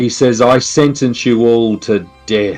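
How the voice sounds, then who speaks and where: A booming, menacing put-on character voice speaks at a fairly slow pace over faint music in the background. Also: man. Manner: booming, menacing, grandiose.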